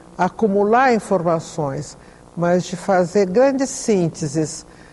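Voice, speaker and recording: A woman speaks very slowly, her intonation lively. Noticeable background noise runs underneath. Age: 70s. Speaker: psychologist, retired professor. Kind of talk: interview. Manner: halting.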